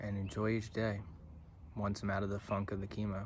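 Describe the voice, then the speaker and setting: A man's fairly low, somewhat breathy voice at a moderate pace, dry with no echo, over light background noise. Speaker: musician. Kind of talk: casual talk to camera. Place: garden. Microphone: phone near.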